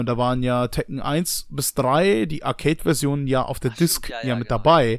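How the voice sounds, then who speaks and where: This is a man speaking. He has a plain, everyday voice. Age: 20s. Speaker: new podcast co-host. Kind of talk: casual chat.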